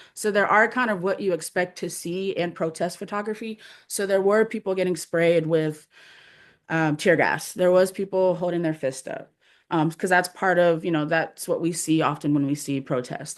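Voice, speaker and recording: A woman speaks at a fairly low pitch with ordinary pitch variation. Her pace is moderate and the background quiet. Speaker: artist and photographer. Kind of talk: artist presentation. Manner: hesitant, many fillers.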